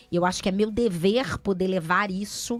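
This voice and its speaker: Speaking with a Rio de Janeiro accent and ordinary pitch variation, a woman is heard in a very clean recording against a silent background. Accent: carioca. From Rio de Janeiro, Brazil. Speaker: NGO founder. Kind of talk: radio interview. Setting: radio studio.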